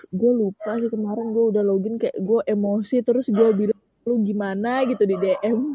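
A woman talks at a fairly high pitch and moderate pace, with hardly any pauses. Her voice is somewhat breathy, her intonation fairly even. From Samarinda, East Kalimantan. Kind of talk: casual chat.

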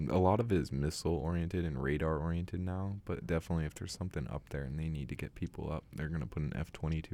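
A man with an American accent speaks very fast. His voice is very deep and low, with a dark, mellow tone. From US West Coast, San Francisco Bay Area. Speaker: acting student. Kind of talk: casual chat. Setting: studio.

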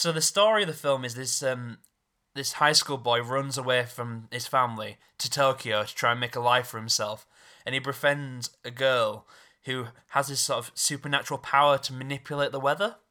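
The pace is moderate and the pitch moves in an ordinary way, with a bright, sharp tone. The recording is very clean, with a silent background. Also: man, medium pitch for a man. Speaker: podcast host. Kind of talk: casual chat.

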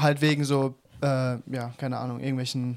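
The man speaks at a medium pitch. His pace is fairly slow. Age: 20s. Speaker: podcast co-host. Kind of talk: casual chat.

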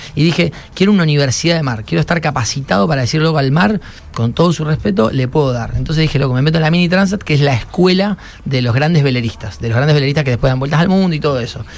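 Noticeable background noise sits behind a man talking at a very fast pace. His fairly high voice has lively intonation. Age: 30s. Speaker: solo sailor. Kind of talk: casual interview. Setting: radio studio.

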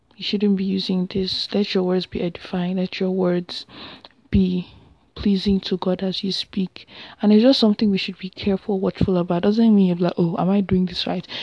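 At a moderate pace, a woman speaks with a medium pitch. Her intonation is monotone and flat. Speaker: podcast host. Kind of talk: solo faith reflection monologue. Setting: home recording at 4 a.m. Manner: casual, many filler ums.

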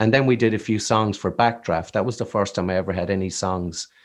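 This man has a fairly low pitch and an American accent, with ordinary pitch variation at a moderate pace. The background is quiet. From Ireland, Killarney, County Kerry. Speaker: singer-songwriter. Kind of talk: casual interview chat.

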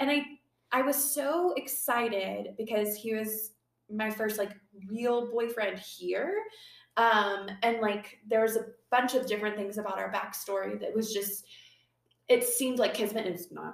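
Her pace is fairly slow, and her pitch fairly high with ordinary variation. This woman has a normal speaking voice. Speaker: podcast host. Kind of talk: casual chat.

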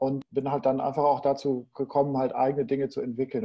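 Speaking with a normal speaking voice, a man keeps a moderate pace and sits fairly high in pitch. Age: 40s. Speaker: e-commerce entrepreneur. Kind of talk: casual interview.

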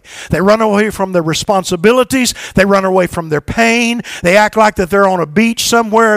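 A man with a high voice and a warm, animated tone speaks at a fairly quick pace, the sound dry and close with no echo, amid noticeable background noise. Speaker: preacher. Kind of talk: sermon. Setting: church; stage with audience. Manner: animated, call-and-response, urging the congregation to respond aloud; warm, exhorting, pastoral.

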